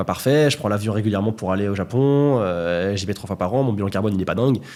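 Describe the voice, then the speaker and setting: On a very clean recording with a silent background, a man with a fairly low pitch and ordinary pitch variation talks at a very fast pace. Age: 20s. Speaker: YouTuber, content creator. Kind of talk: podcast interview.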